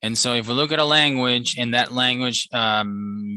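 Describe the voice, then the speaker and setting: Bright, sharp-toned man at a moderate pace with ordinary pitch variation, in a dry sound with no echo and a quiet background. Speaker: professor; instructor. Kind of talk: lecture. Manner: sounds annoyed; hesitant with fillers. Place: home room. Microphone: headset.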